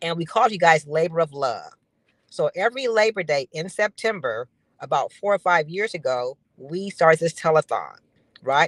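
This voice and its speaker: The speaker has an unremarkable speaking voice, moving at a fairly quick pace with ordinary pitch variation. The sound is dry and close, with no echo. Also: woman. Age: 60s. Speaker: founder of a life insurance campaign. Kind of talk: guest interview on live stream. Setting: live video stream.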